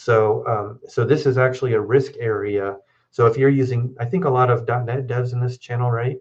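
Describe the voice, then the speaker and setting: Against a quiet background, a somewhat breathy man speaks at medium pitch with fairly even intonation. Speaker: lawyer. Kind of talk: live Q&A chat on law. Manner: fast.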